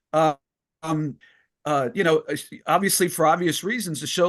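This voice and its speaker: A man speaks at a fairly high pitch with ordinary pitch variation against a quiet background. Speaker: former wrestling ring announcer and author. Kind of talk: interview answer, casual conversational storytelling.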